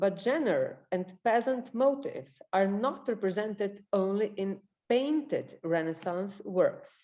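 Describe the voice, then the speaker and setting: A woman speaks at a very slow pace with a Slavic accent. Her tone is dark and mellow, and her pitch fairly high. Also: lively intonation. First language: Slovenian. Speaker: librarian and researcher. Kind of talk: presentation.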